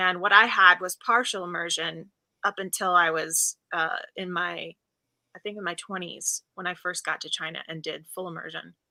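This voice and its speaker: Her voice is fairly low for a woman, bright and sharp in tone with vocal fry, flat and monotone in intonation, moving at a moderate pace with big swings in loudness in a dry, close sound with no echo. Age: 30s. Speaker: dialect coach and Mandarin interpreter. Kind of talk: interview.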